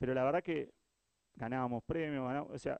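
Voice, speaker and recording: This man has an unremarkable speaking voice at a medium pitch with ordinary pitch variation. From Uruguay. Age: 40s. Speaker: innovation director, agency founder. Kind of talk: talk to live audience. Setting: stage with audience.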